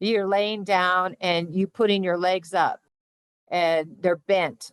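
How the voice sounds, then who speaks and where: Against a quiet background, a woman with a medium pitch speaks at a moderate pace in a dry, close sound with no echo. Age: 60s. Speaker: flexibility coach. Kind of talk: interview. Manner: animated.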